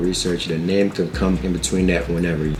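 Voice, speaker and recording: Noticeable background noise sits behind this recording. A man with a very deep, low pitch talks at a fairly quick pace. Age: 20s. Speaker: clothing brand owner. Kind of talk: casual talk to camera. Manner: casual, slangy.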